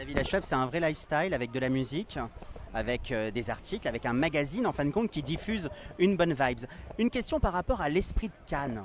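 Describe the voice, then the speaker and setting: A man talks at a very fast pace with very wide pitch swings. Noticeable background noise sits behind him. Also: fairly high pitch for a man. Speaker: fashion interviewer. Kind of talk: interview. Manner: fluent.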